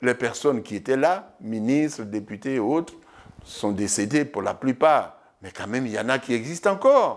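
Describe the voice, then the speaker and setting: Speaking at a fairly slow pace with long, frequent pauses, a man with a medium-pitched voice makes very wide pitch swings and big swings in loudness. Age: 70s. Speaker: former TV host. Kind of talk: interview. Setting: at home.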